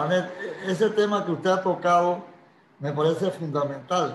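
A man's high voice, with normal pitch variation, unfolds at a fairly slow speed. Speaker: lawyer. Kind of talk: interview.

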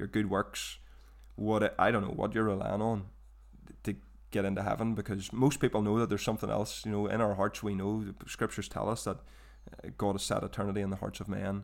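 In a very clean recording with a silent background, a man with a Northern Irish accent speaks fairly quickly at a fairly low pitch, his intonation monotone and flat. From Northern Ireland, Portadown. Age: 20s. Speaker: trainee minister. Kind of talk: testimony.

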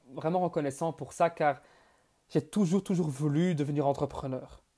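Dark, mellow tone from a man at a moderate pace, with fairly even intonation. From Belgium. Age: 20s. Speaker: entrepreneur and podcast host. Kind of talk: monologue. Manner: halting, frequent repetitions.

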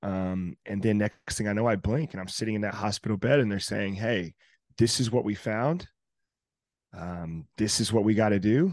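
A man with an ordinary speaking voice and an American accent talks at a moderate pace and fairly low pitch, with ordinary pitch variation, in a dry, close recording with no echo over a quiet background. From North Carolina and southern Indiana. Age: 20s. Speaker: DJ and entrepreneur. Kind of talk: interview.

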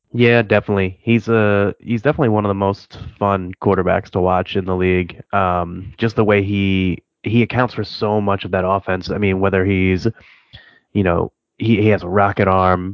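A man speaks with a slight Midwestern accent. His fairly low voice has monotone, flat intonation. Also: moderate pace. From Cleveland area, Ohio. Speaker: fantasy football podcaster. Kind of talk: casual chat.

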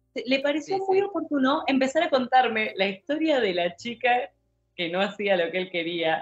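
A woman at a high pitch with very wide pitch swings and a moderate pace. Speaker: podcast co-host. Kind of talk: casual chat.

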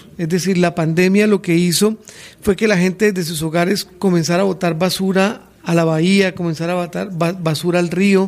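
Moderate speed and fairly even intonation against noticeable background noise. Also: man. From Colombia, Santander. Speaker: political campaign director. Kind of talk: radio interview. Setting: radio studio.

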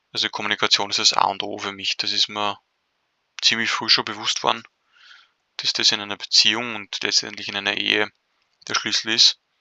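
A man talks at a fairly quick pace. He stops for long pauses often. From Austria, Vienna. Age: 20s. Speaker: podcast co-host. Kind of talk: casual interview. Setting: online call.

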